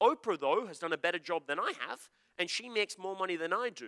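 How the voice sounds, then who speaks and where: This man speaks at a very fast pace with a bright, sharp tone and an Australian accent. His delivery is animated, and the sound is dry and close with no echo. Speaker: motivational speaker. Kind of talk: seminar talk to live audience.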